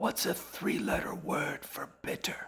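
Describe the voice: A man whispers in a put-on character voice with vocal fry and a husky, rough edge. His pace is fairly slow.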